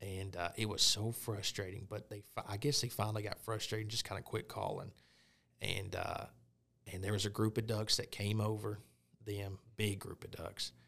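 With an Arkansas accent, a man talks at a moderate pace in a bright, sharp tone, his fairly low pitch held in a monotone, flat intonation. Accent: Southern US (Arkansas). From Arkansas, Pine Bluff (South Central). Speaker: hunter. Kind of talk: casual chat.

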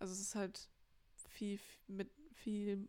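Here a woman talks at a medium pitch and a moderate pace. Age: 20s. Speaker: podcast co-host, sells inherited art. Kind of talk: casual chat.

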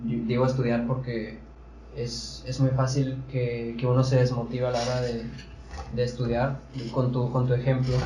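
Audible room echo and noticeable background noise surround the recording. A man speaks at a fairly slow pace with a monotone, flat intonation. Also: medium pitch for a man. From Sonora, Mexico. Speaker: TikToker. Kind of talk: casual chat.

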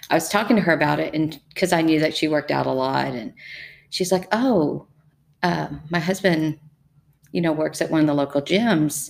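A woman with a Texan accent and a very deep, low voice, her pitch varying in an ordinary way. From Texas, Brazos Valley. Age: 50s. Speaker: educator and powerlifter. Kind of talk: interview.

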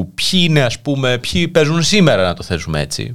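His pitch swings very widely as a man talks at a moderate pace with vocal fry. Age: 30s. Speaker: internet radio host. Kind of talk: casual chat. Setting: studio.

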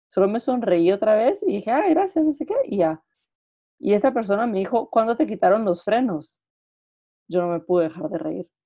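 Her pitch fairly high, a woman talks with very wide swings in pitch. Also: moderate pace. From Guatemala. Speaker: podcast co-host. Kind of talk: casual chat.

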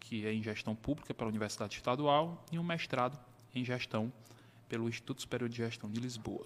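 His intonation is fairly even. This man speaks with a medium pitch. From Brazil, Piauí (Teresina). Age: 30s. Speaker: accountant. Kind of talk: interview.

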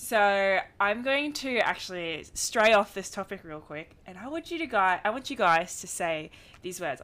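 On a very clean recording with a silent background, a woman with an American accent speaks in an animated, bright, sharp tone at a medium pitch and moderate pace, with very wide pitch swings, big swings in loudness and hardly any pauses. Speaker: podcast co-host. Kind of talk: casual chat.

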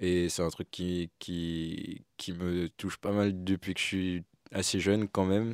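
In a very clean recording with a silent background and a dry, close sound free of echo, a man speaks in a very deep, low voice with flat, monotone intonation. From Martinique. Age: 20s. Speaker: AI engineer and video creator. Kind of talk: casual chat. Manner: hesitant.

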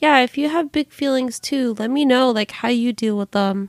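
Her intonation is lively as the woman speaks. The recording is very clean, with a silent background and a dry, close sound with no echo. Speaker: podcast host. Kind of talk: casual monologue. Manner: chatty.

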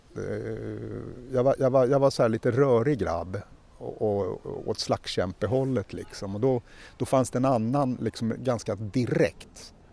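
A man's dark, mellow voice at medium pitch, with vocal fry, ordinary pitch variation and a fairly slow pace. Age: 50s. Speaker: podcast co-host. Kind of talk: casual chat.

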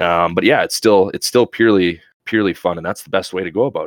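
A man rattles off his words at a very fast pace, captured in a very clean recording against a silent background. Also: dry, close sound with no echo. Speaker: Twitch streamer. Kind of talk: casual chat. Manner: interactive, talkative.

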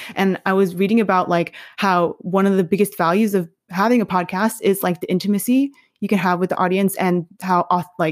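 A woman with an American accent speaks in a plain, everyday voice. Her pitch is medium, her pace fairly quick, and her intonation fairly even. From New York City. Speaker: curriculum developer. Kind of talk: interview. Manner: casual, many fillers.

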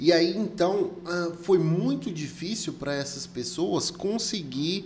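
Over noticeable background noise, a man talks in a high voice at a very slow pace. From Brazil, came to Rondônia from elsewhere. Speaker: podcast host. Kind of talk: casual interview chat. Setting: studio.

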